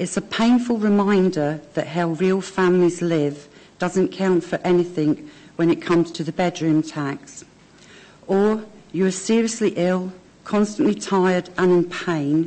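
A woman talks at a fairly slow pace with ordinary pitch variation. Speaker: deputation speaker. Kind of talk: reading prepared statement. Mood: earnest, appealing. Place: hall. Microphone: podium.

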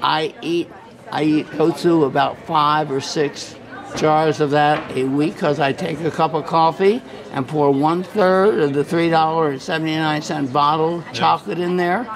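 Crowd noise fills the background. A man speaks with fairly even intonation at a fairly high pitch. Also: moderate pace. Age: 70s. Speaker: street videographer interviewing people. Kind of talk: casual chat. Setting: outdoors. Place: hall.

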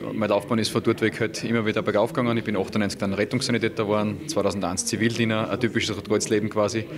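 Over noticeable background noise, a man with a fairly low pitch speaks at a very fast pace with fairly even intonation. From Austria, Styria. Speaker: incoming rescue service commander. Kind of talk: interview. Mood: calm, matter-of-fact. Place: hall. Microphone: handheld.

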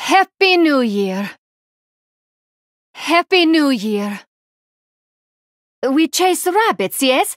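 A woman puts on a character voice, high-pitched, with big pitch swings, a very slow pace, and long, frequent pauses, in a dry, close sound with no echo.

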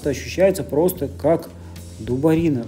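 This woman's voice sits very deep and low in pitch. Her intonation is lively, and light background noise can be heard. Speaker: vlogger. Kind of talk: casual vlog chat. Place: shop. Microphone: phone near.

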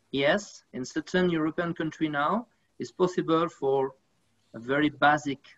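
Speech comes in a French accent at a fairly slow pace. The background is quiet. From France. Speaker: sports federation official. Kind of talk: panel discussion. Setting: video call. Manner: halting. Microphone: video call.

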